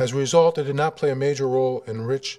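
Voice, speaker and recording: With ordinary pitch variation, a man rushes along at a very fast pace. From US Midwest, Cleveland, Ohio; Ohio. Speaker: surgeon giving a lecture. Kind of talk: lecture. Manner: halting, many fillers. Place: hall. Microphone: podium.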